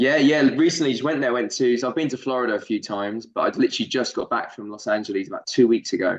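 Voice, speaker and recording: A man with a London accent speaks at a very fast pace, with hardly any pauses, a medium pitch and ordinary pitch variation. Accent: a bit London-like. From southern England. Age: 20s. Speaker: actor. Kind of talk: casual interview chat.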